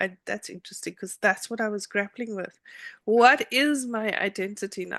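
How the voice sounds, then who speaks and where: A woman with a fairly high pitch and a bright, sharp tone is heard in a dry, close sound with no echo and a quiet background. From South Africa, Cape Town. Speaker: attorney. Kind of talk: interview. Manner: hesitant, many fillers.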